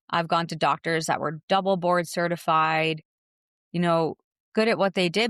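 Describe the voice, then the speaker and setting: A woman's normal speaking voice, fairly low in pitch with ordinary pitch variation and a fairly quick pace, dry and close with no echo, in a very clean recording with a silent background. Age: 40s. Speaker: fitness podcast host. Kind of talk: personal testimony podcast.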